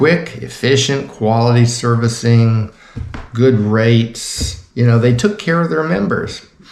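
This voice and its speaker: Over noticeable background noise, a man speaks with an American accent at a fairly slow pace. His pitch is medium, with ordinary variation. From Florida, US South. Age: 70s. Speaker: retired navy officer and vlogger. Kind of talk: angry monologue to camera. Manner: animated.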